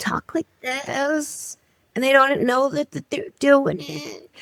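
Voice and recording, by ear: A put-on character voice, female-sounding and high-pitched, comes out creaky at a fairly slow pace.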